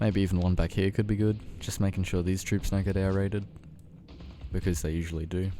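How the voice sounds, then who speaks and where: Over music in the background, a man with an Australian accent speaks in a relaxed tone at a fairly quick pace, his very deep, low pitch held in fairly even intonation. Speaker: gaming youtuber. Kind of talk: gameplay commentary. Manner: casual, relaxed.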